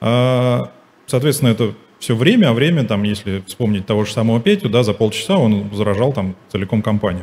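At a fairly quick pace, a normal speaking voice talks with ordinary pitch variation. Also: man, medium pitch for a man. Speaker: IT security manager; conference presenter. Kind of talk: conference talk. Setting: stage with audience. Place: hall.

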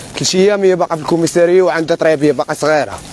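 Ordinary pitch variation over light background noise. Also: man, dry sound with no echo. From Morocco. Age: young. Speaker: homeless young resident. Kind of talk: street interview testimony. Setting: outdoors, live stream. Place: open country.

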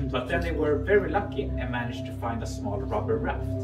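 A man talks at a fairly quick pace over loud music in the background. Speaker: cave tour guide. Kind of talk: guided tour talk. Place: tunnel cave. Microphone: camera far.

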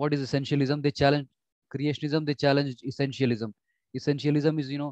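A man talking at a very fast pace, with a quiet background and a dry sound with no echo. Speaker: exam prep teacher. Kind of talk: lecture. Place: home room. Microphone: webcam.

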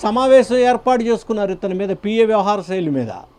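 The man's intonation stays fairly even. His voice sits high in pitch. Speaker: political news commentator. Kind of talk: political commentary to camera.

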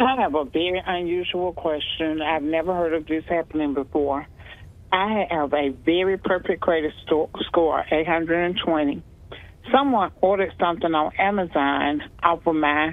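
A woman speaks slowly-ish, at a fairly slow pace and fairly low pitch with ordinary pitch variation. The sound is dry, with no echo. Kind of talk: caller question on call-in show. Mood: frustrated, earnest. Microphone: phone line.

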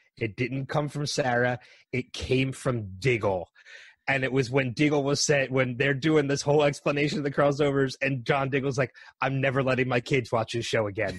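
Against a quiet background, a man at medium pitch speaks at a moderate pace in a somewhat breathy voice with ordinary pitch variation. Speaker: podcast host guest. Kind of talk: casual chat.

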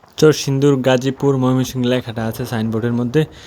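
A man's medium-pitched voice, dark and mellow in tone, with fairly even intonation. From Bangladesh, Narsingdi. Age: 20s. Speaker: vlogger. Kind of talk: casual vlog narration. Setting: outdoors on a village road.

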